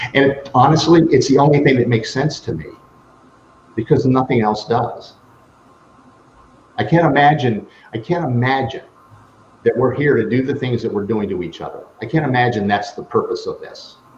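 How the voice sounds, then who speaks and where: Somewhat breathy and at a medium pitch, a man talks with long, frequent pauses. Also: ordinary pitch variation, moderate pace. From Buffalo, New York, US. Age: 60s. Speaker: life strategist, speaker and author. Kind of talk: interview.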